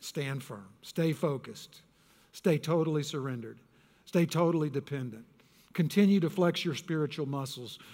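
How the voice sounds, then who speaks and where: With a Texan accent, a man speaks at a moderate pace in a fairly high pitch, using ordinary pitch variation. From Texas. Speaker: pastor. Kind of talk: sermon. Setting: church.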